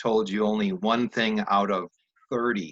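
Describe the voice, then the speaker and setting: A man with a medium pitch and an American accent, ordinary pitch variation, and a dry, close sound with no echo. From US Midwest, Wisconsin. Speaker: YouTube host, interviewer. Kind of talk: casual interview.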